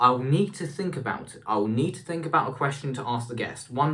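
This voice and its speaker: The voice shows ordinary pitch variation. Audible room echo surrounds it. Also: man. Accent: British. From UK. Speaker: vlogger. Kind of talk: casual vlog. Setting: bathroom. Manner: halting.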